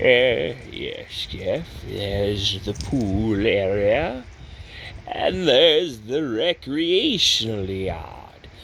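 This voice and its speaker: A man's put-on character voice at a medium pitch, with very wide pitch swings, a very slow pace and clear background noise. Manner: formal, courteous.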